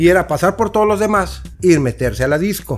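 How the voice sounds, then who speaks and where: A man with a high pitch and ordinary pitch variation talks at a fairly quick pace. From Mexico, Tampico. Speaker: guest. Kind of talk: casual chat.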